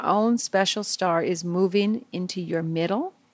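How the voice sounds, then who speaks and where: A woman speaks fairly slowly in an ordinary speaking voice with ordinary pitch variation. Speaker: meditation teacher. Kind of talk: guided meditation for children. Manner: soft, slow, soothing; gentle, warm, playful.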